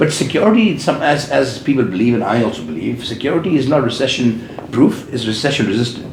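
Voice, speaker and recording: Against noticeable background noise and audible room echo, a man with an Indian accent and medium pitch speaks at a very fast pace with lively intonation and hardly any pauses. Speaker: business owner. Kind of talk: interview. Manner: loud.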